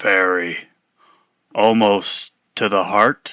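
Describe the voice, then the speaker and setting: In a put-on character voice, a man speaks raspy and at a fairly low pitch, the sound dry and close with no echo. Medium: actual play. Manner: terse, deadpan.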